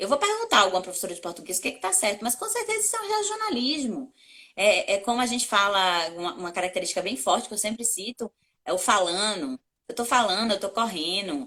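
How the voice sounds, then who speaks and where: The speaker has a bright, sharp tone and lively intonation at a fairly quick pace. The delivery comes in a Bahian accent. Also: woman. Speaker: communication coach and journalist. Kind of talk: interview.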